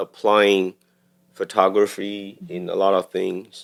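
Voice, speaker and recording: Speaking at a very slow pace, a man with a Taiwanese accent uses a fairly low pitch. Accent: Taiwanese Mandarin-accented English. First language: Mandarin Chinese. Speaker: cinematographer. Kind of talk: podcast interview. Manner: halting.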